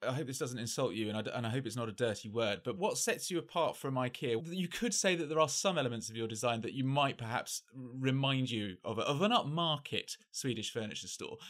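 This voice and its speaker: Using an unremarkable speaking voice, a man at medium pitch talks at a fairly quick pace with lively intonation and hardly any pauses. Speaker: journalist and podcast host. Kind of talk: interview hosting.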